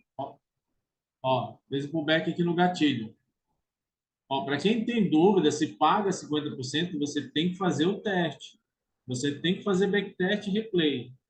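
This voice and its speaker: This man's voice is high-pitched, with ordinary pitch variation and a moderate pace. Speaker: trading educator. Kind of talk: tutorial. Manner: casual.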